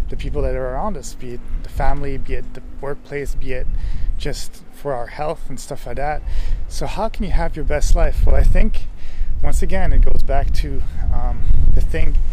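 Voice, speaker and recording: Against noticeable background noise, a man's voice shows big swings in loudness, with a dry sound and no echo. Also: moderate pace. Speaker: motivational vlogger. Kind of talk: casual vlog chat. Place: street. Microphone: phone near.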